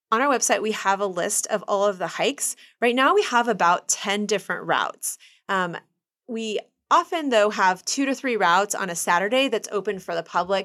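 The recording is very clean, with a silent background. A woman speaks in a Midwestern US accent. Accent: US Midwest. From Kansas City, Kansas. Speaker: urban hiking tour business owner. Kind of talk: interview.

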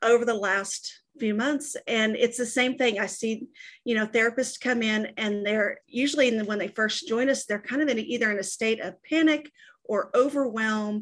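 A woman with an American accent speaks in a normal speaking voice, fairly high in pitch, at a moderate pace with ordinary pitch variation over a quiet background. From Texas. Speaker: sales and service staff at a coaching company. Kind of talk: casual interview.

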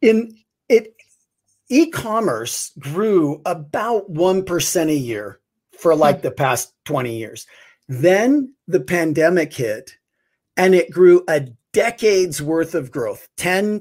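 Very slow speech with very wide pitch swings. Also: man. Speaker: guest. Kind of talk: casual chat.

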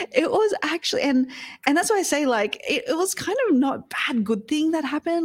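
The speaker has an Australian accent. The pitch swings very widely. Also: woman. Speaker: podcast coach and entrepreneur. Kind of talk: interview conversation.

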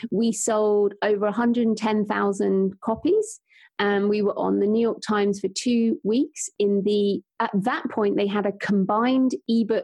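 A woman's fairly high, dark, mellow voice with a British accent, fairly even intonation, very even loudness and a very slow pace. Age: 40s. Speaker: author and podcaster. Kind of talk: casual interview chat.

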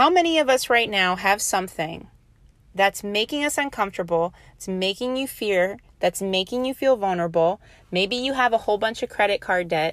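A woman with an American accent speaks in an ordinary speaking voice at a moderate pace, medium-pitched with lively intonation, on a very clean recording with a silent background. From New Orleans, US South. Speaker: podcast host. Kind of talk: pep talk. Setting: podcast. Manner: earnest, motivational, direct address; conversational, repeats and restarts phrases.

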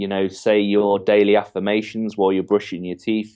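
This man speaks with an English accent at a moderate pace. His fairly low voice stays monotone, with flat intonation. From England. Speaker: entrepreneur mentor and author. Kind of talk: interview. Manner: confident, cheeky.

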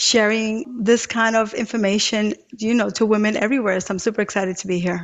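A woman with an ordinary speaking voice talks at a moderate pace, fairly high in pitch, with fairly even intonation. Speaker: mission-driven entrepreneur. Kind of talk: panel discussion.

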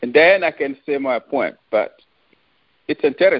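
With a French accent, a man speaks at a fairly slow pace. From France, Paris. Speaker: author and relationship advice guest. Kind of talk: casual interview. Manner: halting.

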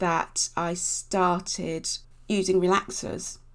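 A woman at a medium pitch with a southern English accent, very slow in pace, in a very clean recording with a silent background. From Basingstoke, Hampshire, southern England (Nigerian family). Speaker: beauty magazine editor. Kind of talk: casual interview.

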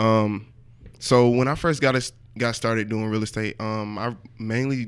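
A man's fairly low voice at a moderate pace, flat and monotone in intonation, on a very clean recording with a silent background. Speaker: wholesaler and real estate investor. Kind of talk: casual roundtable discussion.

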